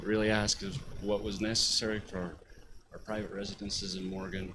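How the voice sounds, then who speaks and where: A fairly quick pace with audible room echo. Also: man. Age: 40s. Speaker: public commenter, home builder. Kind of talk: public comment at council meeting. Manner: halting, many fillers.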